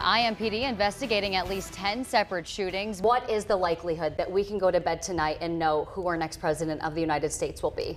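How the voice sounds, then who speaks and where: Music sits in the background. A woman talks at a very fast pace. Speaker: news anchor. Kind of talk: TV news anchoring.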